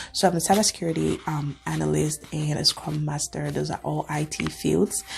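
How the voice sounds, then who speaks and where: Someone talks at a moderate pace with an African accent. Noticeable background noise runs under the voice. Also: woman. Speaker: cybersecurity analyst and video creator. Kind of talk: reaction video monologue. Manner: conversational, with fillers.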